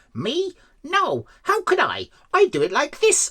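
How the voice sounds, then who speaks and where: A squeaky put-on character voice at an extremely high pitch and a fairly slow pace. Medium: read story.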